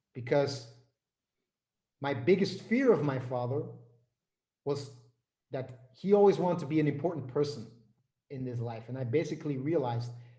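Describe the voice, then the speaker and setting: In a room with audible echo, a man talks at a moderate pace and medium pitch, somewhat breathy, with a dark, mellow tone. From Flanders, Belgium. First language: Dutch. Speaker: business and life coach. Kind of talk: interview.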